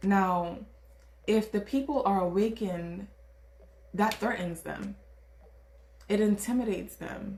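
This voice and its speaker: Speaking in a Caribbean accent at a fairly slow pace, a woman with a somewhat breathy voice and an animated tone holds a medium pitch with ordinary variation, leaving long, frequent pauses. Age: 20s. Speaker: tarot reader. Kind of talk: tarot reading. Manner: animated, casual.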